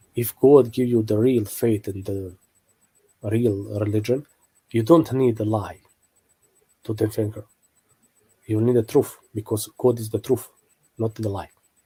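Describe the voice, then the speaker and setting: Speaking slowly with long, frequent pauses, a man with a non-native accent has a somewhat breathy, dark, mellow tone, medium pitch and fairly even intonation. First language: not English. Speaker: religious apologetics video maker. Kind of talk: online video commentary. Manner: halting, many fillers.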